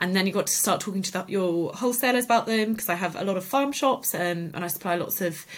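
A woman's medium-pitched voice with a southern English accent, fairly quick pace and ordinary pitch variation. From Cotswolds, England. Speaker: artist and small business owner. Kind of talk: interview. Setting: at the guest's home.

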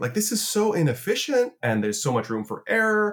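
A man speaks at a moderate pace, somewhat breathy. His pitch swings very widely. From Canada, Toronto. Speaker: futurist and conference founder. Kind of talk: interview conversation. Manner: hesitant, repeats words.

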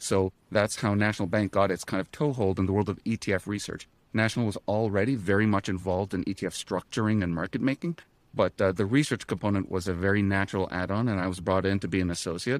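A man talks at a very fast pace with a fairly low pitch and ordinary pitch variation, recorded dry and close with no echo, very clean, over a silent background. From Canada. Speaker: ETF research analyst. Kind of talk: podcast interview.

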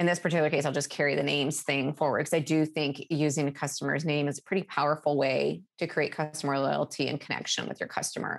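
A woman talks at a very fast pace with a very deep, low pitch and vocal fry. The recording is very clean, with a silent background. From Alaska, small town in the center of the state. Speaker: customer service executive. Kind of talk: interview.

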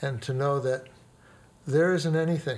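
This man, with an American accent, has a fairly high, somewhat breathy voice and fairly even intonation. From US Midwest, inner-city Chicago. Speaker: pastor. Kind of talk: interview storytelling.

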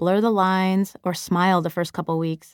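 A woman with an American accent talks at a moderate pace and a medium pitch in an unremarkable speaking voice. The recording is very clean with a silent background, the sound dry and close with no echo. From US Midwest, Chicago. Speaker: teacher and author narrating own book. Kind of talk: audiobook narration.

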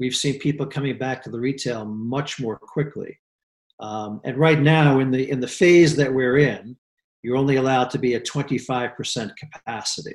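With an unremarkable speaking voice, a man talks at a moderate pace and medium pitch with fairly even intonation. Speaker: real estate executive. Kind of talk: interview conversation.

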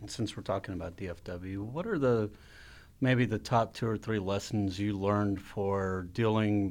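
A man speaks at a fairly slow pace with ordinary pitch variation. He has a plain, everyday voice. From Texas. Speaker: podcast host. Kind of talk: casual interview.

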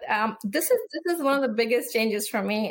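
At a moderate pace and with ordinary pitch variation, a woman talks in a normal speaking voice. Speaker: space policy official. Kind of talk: interview conversation.

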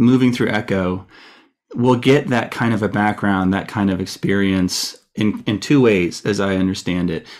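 A man talks at a fairly slow pace with a fairly low pitch. He has an ordinary speaking voice. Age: 40s. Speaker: deacon and podcast host. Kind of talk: interview.

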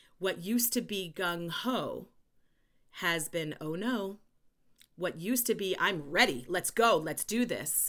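A woman with a New York accent speaks at a fairly slow pace and a medium pitch, her tone animated and her intonation lively. The recording is very clean with a silent background. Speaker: educator and consultant. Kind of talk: interview conversation. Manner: loud.

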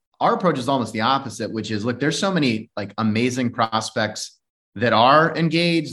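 This is an ordinary speaking voice with ordinary pitch variation. It moves at a fairly quick pace against a quiet background. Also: man. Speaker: podcast host. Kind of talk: casual interview.

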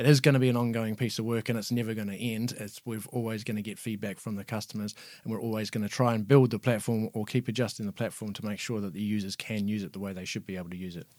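Speaking in a New Zealand accent, a man goes at a very fast pace with fairly even intonation and a fairly low pitch. The recording is very clean, with a silent background. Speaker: user experience designer, product team. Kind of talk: interview answers.

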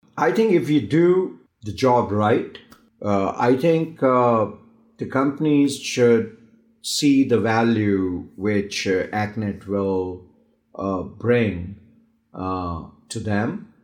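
Speaking very slowly, a man uses lively intonation at a medium pitch. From India. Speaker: company CEO and co-founder. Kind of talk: interview.

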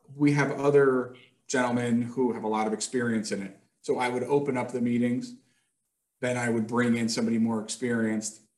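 With an American accent, a man talks at a fairly quick pace in a medium pitch and a monotone, flat intonation. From upstate New York, Hudson Valley. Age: 40s. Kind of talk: podcast interview.

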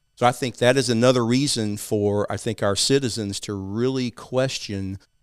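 With an East Texas accent, a man talks at a moderate pace and a medium pitch, his pitch varying in an ordinary way. The recording is very clean, with a silent background. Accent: East Texas Southern. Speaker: financial advisor and civic group founder. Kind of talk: interview discussing local policy.

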